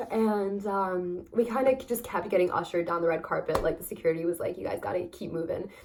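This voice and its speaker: A woman talks with lively intonation and hardly any pauses. Noticeable background noise runs underneath. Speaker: vlogger. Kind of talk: casual chat. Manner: fast; hesitant, many fillers.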